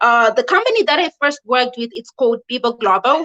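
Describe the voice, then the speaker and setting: With a Zimbabwean accent, a woman speaks at a high pitch and a moderate pace. Her tone is bright and sharp, and the sound is dry and close with no echo. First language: not English (Zimbabwean language). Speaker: online English teacher and video host. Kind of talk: live video explainer. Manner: casual, conversational with fillers.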